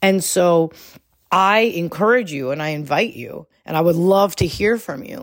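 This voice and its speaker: On a very clean recording with a silent background, a woman with a plain, everyday voice speaks at fairly low pitch and a fairly slow pace, with lively intonation and big swings in loudness. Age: 40s. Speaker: business coach and podcast host. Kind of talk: solo podcast monologue. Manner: casual, conversational with fillers.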